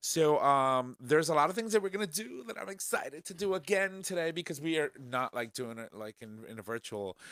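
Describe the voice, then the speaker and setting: Speaking at a fairly quick pace, a man with a fairly high pitch and very wide pitch swings is heard in a very clean recording with a silent background and a dry, close sound with no echo. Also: hardly any pauses. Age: 40s. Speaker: podcast host. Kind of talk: casual chat. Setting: studio.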